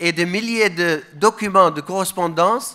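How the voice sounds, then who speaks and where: The speaker has a Middle Eastern accent and a raised, projected voice with a bright, sharp tone. The pace is very slow, with ordinary pitch variation. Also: man. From Iraq, Mosul. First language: Aramaic (speaking French). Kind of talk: conference speech.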